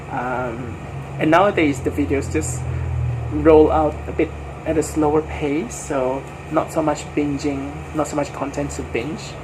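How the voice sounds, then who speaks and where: Talking at a moderate speed, a man comes through noticeable background noise. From Malaysia. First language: not English. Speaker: book vlogger. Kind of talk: casual chat. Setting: at home. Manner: halting, many fillers.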